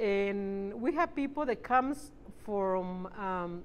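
Her Spanish accent clear, a woman speaks at a very slow pace with lively intonation. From Mexico, Zacatecas. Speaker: bakery owner. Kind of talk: interview monologue. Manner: halting with frequent fillers. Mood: warm, smiling, proud. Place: shop.

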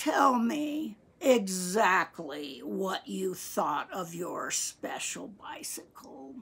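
A woman puts on a character voice that is wheezy with vocal fry, medium in pitch and fairly bright, moving at a very slow pace with lively intonation.

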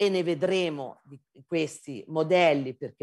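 Over a quiet background, a woman speaks very slowly with a very deep, low pitch, vocal fry and a dark, mellow tone. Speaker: geology professor; lecturer. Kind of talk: lecture. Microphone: video call.

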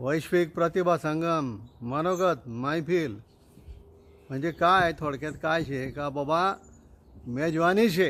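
Ordinary pitch variation in a normal speaking voice. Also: man, fairly high pitch for a man. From Khandesh, Dhule district, Maharashtra, India. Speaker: event speaker promoting a conference. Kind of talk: promotional announcement.

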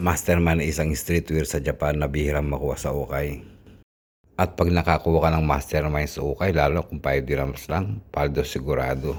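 A man's very deep, low voice with vocal fry, fairly even intonation and a moderate pace. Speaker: vlogger. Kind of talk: casual vlog narration. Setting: outdoors and in a thrift store.

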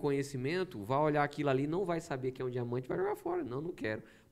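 This man talks at a fairly quick pace with a fairly high pitch and lively intonation. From Brazil, Maranhão (São Luís); Maranhão, Brazil. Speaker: pastor podcast guest. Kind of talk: casual podcast conversation; podcast conversation, preaching style. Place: studio. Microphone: studio mic.

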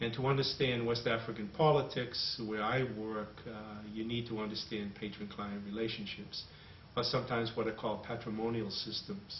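In a Boston accent, a man speaks at a moderate pace in a medium pitch with monotone, flat intonation, over light background noise and audible room echo. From Boston, USA. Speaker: anthropologist. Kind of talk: interview answer. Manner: hesitant, thoughtful. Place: home room. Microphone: camera far.

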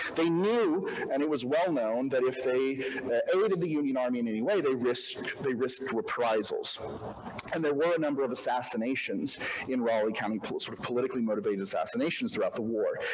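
A man with an American accent, a normal speaking voice, medium pitch, lively intonation and a fairly quick pace, over light background noise. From Oklahoma and Arkansas. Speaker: historian. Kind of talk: history lecture. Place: hall. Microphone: podium.

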